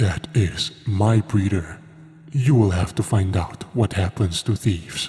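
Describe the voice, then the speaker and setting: A man puts on a hissing character voice at a fairly low pitch. His pace is fairly slow. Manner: menacing hiss.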